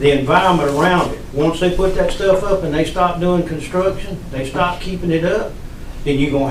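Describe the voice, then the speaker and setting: This man talks at a fairly quick pace with a Southern US accent, his pitch high and its variation ordinary. There is audible room echo and noticeable background noise. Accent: Southern US (Georgia). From US South, Georgia (Upson County). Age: 60s. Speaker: resident speaking at public meeting. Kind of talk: public comment. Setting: county commission meeting.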